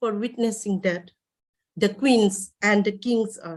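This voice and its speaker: A woman with a Manipur accent, medium pitch, and a very slow pace. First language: Manipuri. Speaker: poet. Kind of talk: poetry reading. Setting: online festival session.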